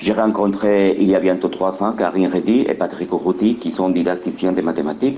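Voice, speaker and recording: A man's very deep, low voice at a moderate pace, fairly even in intonation, with noticeable background noise. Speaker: education researcher. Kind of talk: conference presentation.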